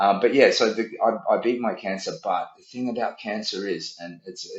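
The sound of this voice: A man talks at a fairly quick pace, and audible room echo surrounds his voice.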